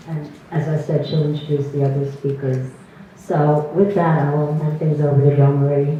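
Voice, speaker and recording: A woman speaks in a very deep, low voice with monotone, flat intonation, with audible room echo and noticeable background noise. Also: moderate pace. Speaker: president of a women's history organization. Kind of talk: event welcome speech, partly read from notes. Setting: live event hall with audience, microphone. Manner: loud.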